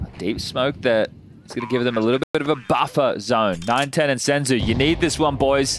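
A man speaks in an unremarkable speaking voice. His pitch varies in an ordinary way. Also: medium pitch for a man. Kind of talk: esports commentary. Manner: rapid-fire, play-by-play, clipped and fluent.

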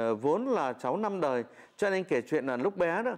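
Against a quiet background, a man speaks at a moderate pace. His voice moves in very wide pitch swings. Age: 40s. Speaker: folk singer; interviewee. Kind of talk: interview. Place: home room.

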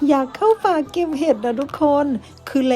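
A woman talks with ordinary pitch variation. Noticeable background noise sits behind her voice. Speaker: vlogger. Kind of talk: vlog narration. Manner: animated.

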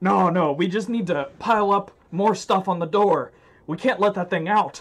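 Using a put-on character voice, a man pitches it high for a man. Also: moderate pace.

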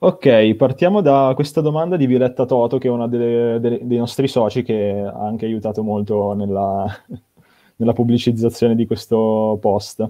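Against a quiet background, a man talks at a moderate pace. His pitch shows ordinary variation. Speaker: event moderator. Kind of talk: live stream moderation. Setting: video call. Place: home room. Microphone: video call.

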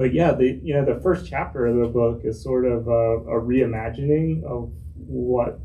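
Speaking at a moderate pace in an American accent, a man uses very wide pitch swings. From North Carolina, Charlotte; Lumbee (Robeson County roots); North Carolina. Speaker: author and hydrology professor; hydrology professor. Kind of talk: book talk conversation. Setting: bookstore event with audience. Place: shop. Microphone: microphone cutting off.

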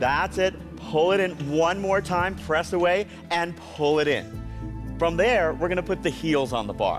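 A man speaks fairly slowly while clear music plays behind him. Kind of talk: exercise class instruction. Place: gym. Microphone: lapel.

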